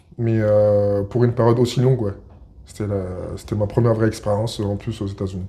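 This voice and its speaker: A somewhat breathy, dark and mellow voice at a fairly quick pace, with flat, monotone intonation. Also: man, fairly low pitch for a man. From Paris region, France. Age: 30s. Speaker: basketball player. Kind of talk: interview. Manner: hesitant, many fillers.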